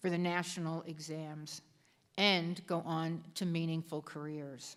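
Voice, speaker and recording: A woman speaks at a fairly slow pace with a fairly low pitch, on a very clean recording with a silent background. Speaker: lieutenant governor. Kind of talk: commencement speech. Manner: loud.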